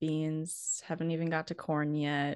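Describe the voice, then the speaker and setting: With a North Dakota accent, a woman speaks at a fairly slow pace against a quiet background. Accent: northern US (North Dakota). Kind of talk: casual interview chat.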